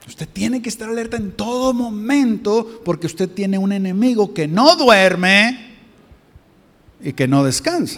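Using lively intonation, a man with a high voice talks at a fairly slow pace. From Mexico. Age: 50s. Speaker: visiting pastor. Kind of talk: sermon. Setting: church.

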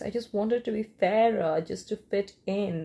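A woman with an Indian accent speaks at a medium pitch in a somewhat breathy voice. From eastern India. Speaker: first-time podcaster. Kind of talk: solo monologue rant. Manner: hesitant, many fillers.

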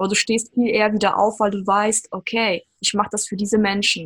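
At a moderate pace, the voice is somewhat breathy and flat, with monotone intonation. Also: woman. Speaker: podcast host. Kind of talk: podcast interview. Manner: talkative.

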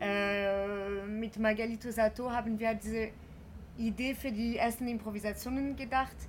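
A woman with a French accent talks at a moderate pace in a somewhat breathy, fairly high voice with monotone, flat intonation. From France. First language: French (speaking German). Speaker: actress and performer. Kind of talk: interview. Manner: halting, many hesitations.

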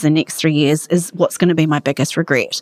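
Very fast speech with a New Zealand accent and fairly even intonation. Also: woman, dry, close sound with no echo. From Australia (outback), then New Zealand from age 11. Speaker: charity chief executive. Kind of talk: interview.

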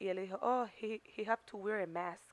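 A woman speaks at a medium pitch. She has a plain, everyday voice. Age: 30s. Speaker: YouTube podcast co-host. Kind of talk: casual chat.

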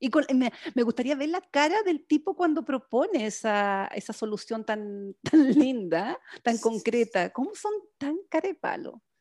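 A woman's fairly high voice with very wide pitch swings and big swings in loudness, at a fairly slow pace, dry and close with no echo on a very clean recording with a silent background. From Chile. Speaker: podcast co-host. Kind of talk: casual chat.

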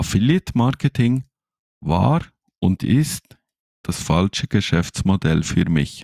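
A Swiss German accent at a very slow pace, with long, frequent pauses. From Switzerland. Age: 30s. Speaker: podcast co-host, network marketer. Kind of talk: sales pitch.

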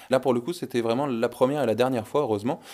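Noticeable background noise under fairly even intonation. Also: man. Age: 20s. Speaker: visually impaired guide dog owner. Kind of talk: testimony.

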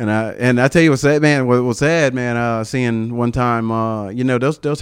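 Speaking at a moderate pace, a man uses a medium pitch and ordinary pitch variation. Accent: Southern US. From US South, upstate South Carolina. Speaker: army veteran and comedian. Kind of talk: casual chat. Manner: halting.

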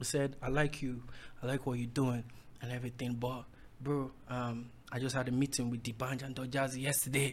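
Somewhat breathy, a man talks fairly quickly at a medium pitch with monotone, flat intonation. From Nigeria, Ondo State. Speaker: musician. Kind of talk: casual chat.

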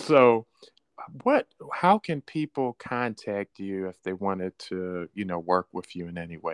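This man has an ordinary speaking voice, pitched fairly low. He speaks at a fairly slow pace with ordinary pitch variation. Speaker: podcast host. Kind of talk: casual interview.

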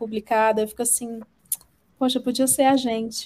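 Her intonation stays monotone and flat. This woman's voice sits fairly high in pitch. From Brazil, Ceará. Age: 30s. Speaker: podcaster and content creator. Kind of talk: casual chat. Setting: live stream.

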